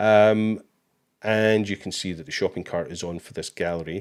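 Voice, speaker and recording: In a very clean recording with a silent background, a man with a Scottish accent speaks at a moderate pace. His voice is fairly low, with ordinary pitch variation. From Scotland. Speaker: livestream host for a photo website company. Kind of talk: live software tutorial with viewer Q&A. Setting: live stream with screen share. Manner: casual, with many fillers.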